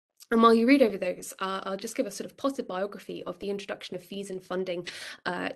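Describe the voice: A woman speaks fast at a medium pitch, her tone fairly bright, with vocal fry and fairly even intonation.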